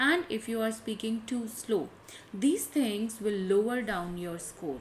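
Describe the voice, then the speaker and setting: A woman with an Indian accent speaks fairly slowly in a fairly high, somewhat breathy voice with lively intonation. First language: Hindi. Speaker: English test tutor. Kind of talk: tutorial.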